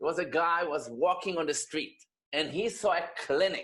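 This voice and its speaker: A man speaks with an Israeli accent. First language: Hebrew. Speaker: rabbi. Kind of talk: personal testimony talk.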